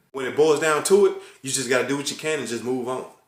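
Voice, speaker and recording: Speaking at a fairly quick pace in an animated tone, a man with a fairly high pitch is heard with audible room echo. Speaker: vlogger. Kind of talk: casual vlog monologue. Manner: stuttering.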